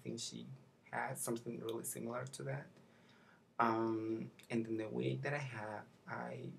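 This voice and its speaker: Soft-spoken speech at a moderate pace comes with long, frequent pauses over light background noise. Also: man. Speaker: makeup vlogger. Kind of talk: tutorial. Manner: halting. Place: home room. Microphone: webcam.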